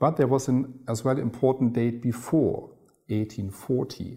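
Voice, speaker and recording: A man's somewhat breathy, dark and mellow voice at a medium pitch, with a German accent. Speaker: concert hall director. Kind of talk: interview.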